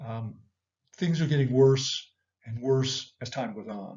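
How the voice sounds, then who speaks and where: A man speaks in a somewhat breathy voice. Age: 60s. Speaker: economics commentator, former business professor. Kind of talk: economic update talk to viewers. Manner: conversational, frequent fillers and repetitions.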